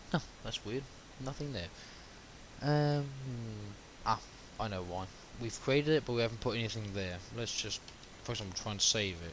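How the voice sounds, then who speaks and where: With noticeable background noise behind him, a man talks at a moderate pace, stopping for long pauses again and again. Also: medium pitch for a man, ordinary pitch variation. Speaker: web development tutorial maker. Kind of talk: screen-recorded coding tutorial. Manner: halting, self-described stuttering.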